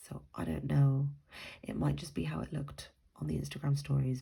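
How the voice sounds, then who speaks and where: A somewhat breathy woman with a very deep, low pitch, very wide pitch swings and a fairly slow pace. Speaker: planner sticker youtuber. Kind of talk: casual haul video. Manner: hesitant, many ums.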